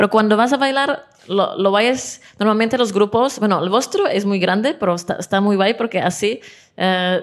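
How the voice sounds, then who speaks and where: The speech comes at a fairly slow pace with ordinary pitch variation and a Czech accent. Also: woman. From Czech Republic. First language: Czech (speaking Spanish). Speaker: dance teacher. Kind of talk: interview. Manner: halting, many fillers and repetitions.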